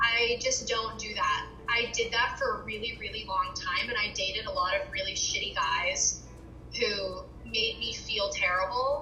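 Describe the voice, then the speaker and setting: There is audible room echo and music in the background. A woman speaks at a fairly slow pace. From US, Virginia. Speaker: interviewee sharing mental health experience. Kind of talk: interview. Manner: casual, many fillers.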